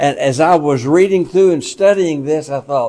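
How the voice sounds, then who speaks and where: A man speaks at a moderate pace with ordinary pitch variation. His tone is dark and mellow. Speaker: pastor teaching Bible study. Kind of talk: lecture. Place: meeting room.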